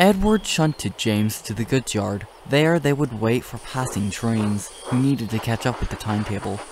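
A natural reading voice carries the words. Its intonation moves in a lively way.

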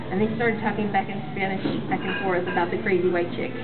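A woman talks at a very fast pace over loud background music. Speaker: vlogger. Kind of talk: casual vlog chat. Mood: warm, animated. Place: hall. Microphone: webcam.

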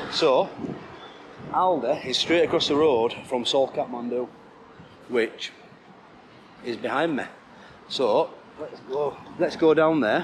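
Over light background noise, a man speaks at a very slow pace. He uses ordinary pitch variation and leaves long, frequent pauses. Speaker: travel vlogger. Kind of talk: casual vlog chat. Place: street. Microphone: phone near.

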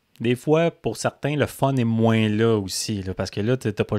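The voice has a dark, mellow tone and comes in a Quebec accent. The recording is very clean, dry and close, with a silent background and no echo. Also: man. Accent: Québécois French. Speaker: motocross podcast co-host. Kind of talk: casual chat.

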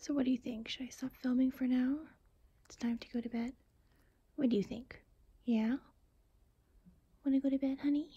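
At a moderate pace, a woman with a high pitch speaks in a dark, mellow tone with a husky, rough edge, fairly even intonation, and long, frequent pauses.

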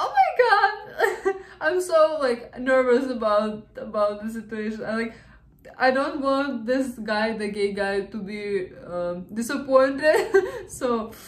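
Speaking at a very slow pace, a woman with a high pitch is heard with audible room echo. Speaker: reaction video host. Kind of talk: casual reaction commentary. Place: home room. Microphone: earbuds.

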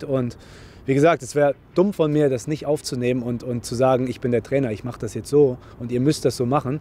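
A man with a medium pitch and a dark, mellow tone talks at a fairly quick pace with fairly even intonation.

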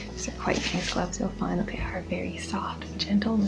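The speech moves at a fairly quick pace. Clear music can be heard in the background. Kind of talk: soft role-play talk to viewer. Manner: soft-spoken, gentle ASMR voice.

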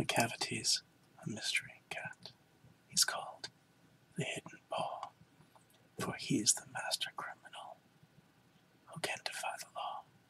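Whispering at a fairly slow pace in a calm tone. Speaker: ASMR reader. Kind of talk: poetry reading. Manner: soft-spoken, calm.

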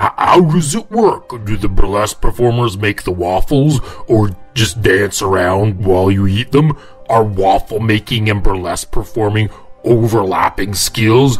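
In a cartoonish character voice, a man talks at a moderate pace with a fairly low pitch. Faint music plays in the background. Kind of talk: comic story narration to camera. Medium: puppet. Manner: jokey, casual.

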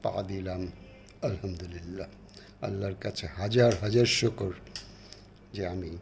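Over music in the background, a man talks in a very deep, low voice with fairly even intonation. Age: 70s. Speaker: elderly vlogger and poet. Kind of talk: personal birthday address. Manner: halting.

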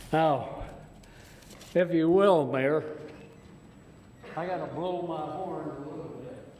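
Over noticeable background noise and audible room echo, a man with a fairly high pitch speaks at a very slow pace with fairly even intonation and long, frequent pauses. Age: 80s+. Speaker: war veteran and public commenter. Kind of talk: public comment at council meeting.

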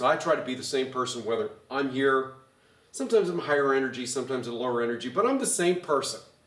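A man with an animated tone, a fairly quick pace, and audible room echo. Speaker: pastor; pastor teaching Bible study. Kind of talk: bible study teaching. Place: hall.

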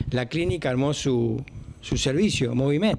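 With lively intonation, a man talks at a moderate speed. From Argentina. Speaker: emergency service owner. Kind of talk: interview. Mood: frustrated, explaining. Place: office.

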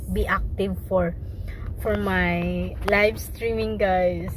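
Light background noise sits behind a woman whose voice is dry, with no echo. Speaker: vlogger. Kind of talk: casual vlog chat. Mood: cheerful, smiling. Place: car. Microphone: phone near.

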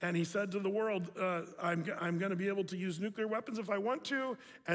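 The speaker uses an unforced reading voice.

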